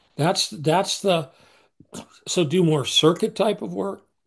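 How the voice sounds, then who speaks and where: Somewhat breathy, a man talks at a fairly slow pace. His intonation is lively. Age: 70s. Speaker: strength and conditioning coach. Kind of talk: podcast interview. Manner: halting, many repeated words.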